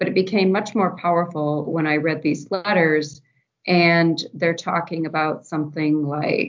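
A normal speaking voice, a woman's, fairly low-pitched and fairly slow, with ordinary pitch variation. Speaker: university archivist. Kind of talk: casual interview chat.

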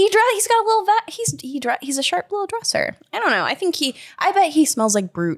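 A woman talks at a very fast pace with an extremely high pitch. Her pitch swings very widely, and the sound is dry and close with no echo. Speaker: podcast co-host. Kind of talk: casual chat.

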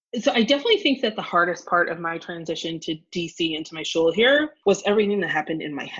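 This woman talks at a very fast pace with hardly any pauses, her fairly low voice carrying lively intonation. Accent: American. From US Midwest, Evanston, Illinois. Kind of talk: interview conversation.

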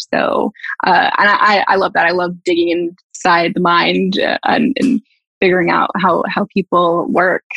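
A woman with a Canadian accent talks at a fairly slow pace and very even loudness, in a dry, close sound with no echo. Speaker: public relations professional, former music student. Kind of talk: casual interview.

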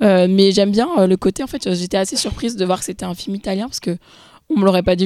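Very clean and set against a silent background, this recording has a woman speaking at a very fast pace with a medium pitch, ordinary pitch variation and a dark, mellow tone. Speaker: film podcast co-host. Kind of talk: casual chat.

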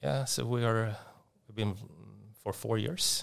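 A man speaks in a Swedish accent with fairly low pitch. Vocal fry runs through his voice. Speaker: tech company executive. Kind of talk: interview. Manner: halting.

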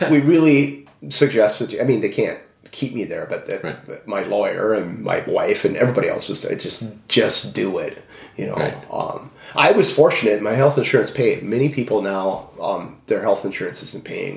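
A man with an American accent, big swings in loudness, and noticeable background noise. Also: moderate pace. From Minnesota. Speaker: author and former pastor. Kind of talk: interview testimony. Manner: halting, many fillers.

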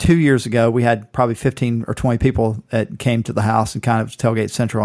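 The recording is very clean, with a silent background. A man with an American accent talks very fast at a medium pitch with fairly even intonation. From Southeast Georgia, US South. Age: 40s. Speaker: sports podcast co-host. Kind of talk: casual chat.

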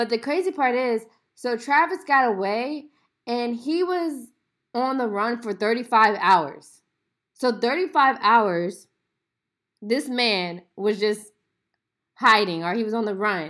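A woman with a fairly high pitch and lively intonation, at a fairly slow pace with long, frequent pauses, on a very clean recording with a silent background. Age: 20s. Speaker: podcast host. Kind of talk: casual solo commentary.

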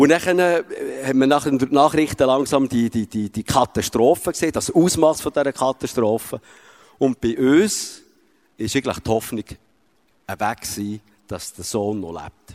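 In a very clean recording with a silent background and a dry, close sound without echo, a man speaks fairly slowly at a medium pitch with lively intonation. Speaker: father. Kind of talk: testimony. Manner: halting.

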